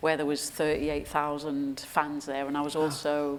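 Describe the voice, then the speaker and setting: In a Geordie accent, a woman talks at a moderate pace with a very deep, low pitch. Her intonation is monotone and flat. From Newcastle, England. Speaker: sports performance director. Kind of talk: interview answer on stage. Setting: live audience event.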